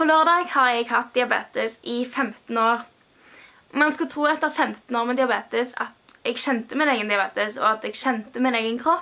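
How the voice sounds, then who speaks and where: A woman talks at a moderate pace in a bright, sharp tone. Her pitch is high, with ordinary pitch variation. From Stavanger, Norway. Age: 20s. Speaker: music student living with type 1 diabetes. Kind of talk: personal vlog talk to camera.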